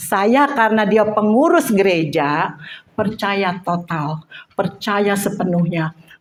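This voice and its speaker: A woman with a mid-range voice talks at a very slow pace while clear noise carries on behind her. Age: 60s. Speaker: Bible teacher. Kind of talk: personal testimony; Bible study teaching. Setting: women's church group.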